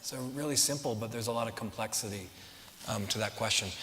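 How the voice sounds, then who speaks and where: Noticeable background noise behind a man with ordinary pitch variation. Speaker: real estate developer, company CEO. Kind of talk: audience Q&A at a talk. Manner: fast.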